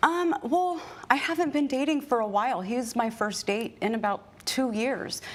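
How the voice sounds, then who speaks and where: This woman has a Californian accent and a high pitch, with lively intonation at a moderate pace. Noticeable background noise runs under her voice. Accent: Californian American. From US West Coast, Bay Area. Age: 30s. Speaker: plaintiff. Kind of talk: courtroom testimony. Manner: formal.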